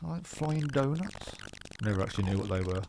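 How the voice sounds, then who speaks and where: A man with a Birmingham accent speaks at a fairly quick pace, his pitch swinging very widely, over noticeable background noise. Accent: Brummie. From West Midlands, England. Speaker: gaming YouTuber. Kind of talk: gameplay commentary. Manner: casual, hesitant with fillers; not fast-talking.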